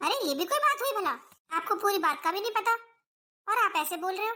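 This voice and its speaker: In a squeaky, put-on character voice, a woman talks at a very fast pace and an extremely high pitch with very wide pitch swings. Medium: cartoon. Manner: reasoning, resentful.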